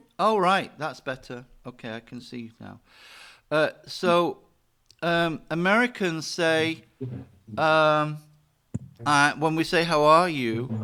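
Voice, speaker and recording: In a British accent, a man with a fairly high pitch and a bright, sharp tone talks at a very slow pace, with ordinary pitch variation, big swings in loudness, and long, frequent pauses. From Britain. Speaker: English teacher. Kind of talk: online lesson. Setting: video call.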